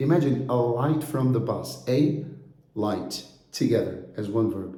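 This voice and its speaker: A man's medium-pitched voice with a dark, mellow tone, vocal fry, lively intonation and audible room echo. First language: Brazilian Portuguese. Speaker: English teacher. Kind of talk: course introduction. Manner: conversational, with frequent fillers.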